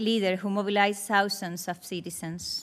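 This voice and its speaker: A fairly high-pitched woman with a Spanish accent and monotone, flat intonation, on a very clean recording with a silent background. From Cuba. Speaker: Cuban rights advocate, witness. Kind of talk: prepared testimony at hearing.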